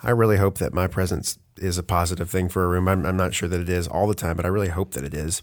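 Very fast and fairly even in intonation, a man speaks with a very deep, low pitch. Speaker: podcast host. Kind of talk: casual podcast conversation. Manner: fast talker.

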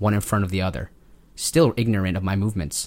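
A plain, everyday voice, a man's fairly low pitch with ordinary variation at a fairly quick pace, on a very clean recording with a silent background. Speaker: podcast host and author. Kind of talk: ghost story telling, reading an original horror story aloud. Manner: casual, chatty banter.

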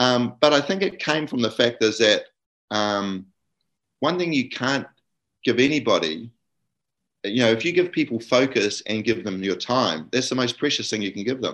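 With a New Zealand accent, a man of medium pitch talks at a moderate pace with lively intonation and long, frequent pauses against a quiet background. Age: 60s. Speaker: guest father sharing experiences. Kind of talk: casual interview chat.

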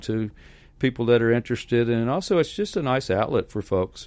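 A man with an American accent speaks in an ordinary speaking voice at medium pitch, with ordinary pitch variation, on a very clean recording with a silent background. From Hopkinsville, Kentucky, US South. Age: 60s. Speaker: professional clown and balloon artist. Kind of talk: casual interview.

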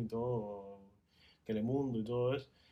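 A man with a Spanish accent speaks in a dark, mellow tone with fairly even intonation. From Cuba. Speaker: podcast guest, host's fiancé. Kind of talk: casual chat.

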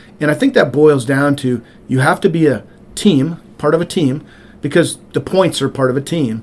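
A man with an American accent, an ordinary speaking voice, a fairly high pitch, ordinary pitch variation and a moderate pace. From rural Montana. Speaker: state senator. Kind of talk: interview.

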